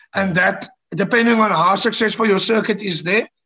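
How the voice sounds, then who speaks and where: A man talks at a high pitch with a bright, sharp tone. His pace is moderate and his intonation fairly even. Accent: South African. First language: Afrikaans. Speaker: rock band frontman. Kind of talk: podcast interview. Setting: video call.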